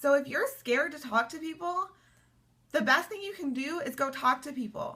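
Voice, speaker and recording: The voice is raised and projected, at a moderate pace. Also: woman. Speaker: sales coach. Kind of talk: motivational talk. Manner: casual.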